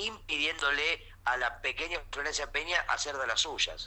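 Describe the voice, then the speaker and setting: A man speaks with a Rioplatense accent. His pace is moderate. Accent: Rioplatense Spanish (Argentine). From Argentina, Mar del Plata. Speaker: comedian. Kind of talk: casual comedic chat. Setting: remote call.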